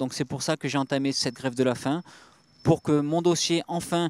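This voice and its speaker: A man speaks at a moderate pace with fairly even intonation. The recording is very clean, with a silent background and a dry, close sound with no echo. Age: 30s. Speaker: father on hunger strike. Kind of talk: testimony. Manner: halting, many hesitations.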